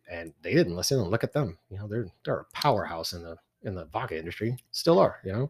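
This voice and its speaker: A man with a slight Texan accent talks at a very fast pace, his voice somewhat breathy. His pitch swings very widely, and the sound is dry and close, with no echo. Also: fairly low pitch for a man, big swings in loudness. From Texas.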